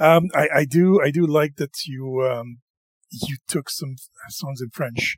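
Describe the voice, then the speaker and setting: Recorded dry and close with no echo, a man with a fairly high, somewhat breathy voice speaks at a fairly slow pace, with ordinary pitch variation and big swings in loudness. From Quebec. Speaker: podcast host. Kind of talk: casual chat.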